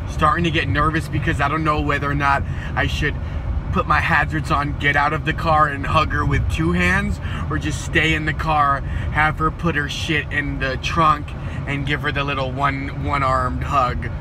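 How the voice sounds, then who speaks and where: The pace is moderate and the sound dry with no echo. Noticeable background noise runs underneath. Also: man. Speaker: vlogger. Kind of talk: casual vlog chat. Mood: deadpan comedic. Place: car. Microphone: phone near.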